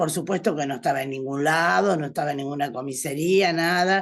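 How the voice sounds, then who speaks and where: This woman's pitch is very deep and low, heard over a quiet background. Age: 70s. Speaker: participant in study group. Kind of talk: testimony.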